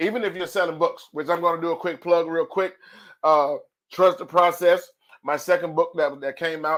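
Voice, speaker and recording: A man with a high pitch talks in a very clean recording with a silent background. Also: moderate pace. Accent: American. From US South, Alabama. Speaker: podcast host and author. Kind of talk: podcast monologue. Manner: animated.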